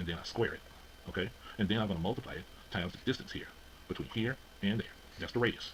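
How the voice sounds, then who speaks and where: Very fast and very deep, a man's low voice moves with ordinary pitch variation. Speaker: physics teacher. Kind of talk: lecture.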